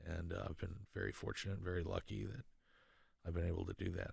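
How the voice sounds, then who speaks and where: A man with an American accent speaks at a fairly quick pace. His very deep, low voice carries vocal fry. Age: 50s. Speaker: sound engineer and motorcycle builder. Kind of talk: casual interview. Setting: studio.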